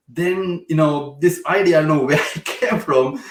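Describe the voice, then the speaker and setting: Fairly quick speech with fairly even intonation, in a Sri Lankan accent. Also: man. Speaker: software founder. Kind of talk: interview. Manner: halting.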